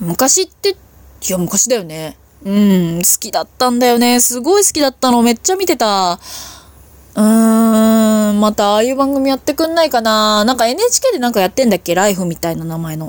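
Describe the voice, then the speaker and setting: Pitched fairly high, a woman's voice swings very widely up and down. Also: moderate pace, dry, close sound with no echo. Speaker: solo podcaster. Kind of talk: casual monologue. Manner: self-deprecating, deferential tone; casual, chatty with fillers.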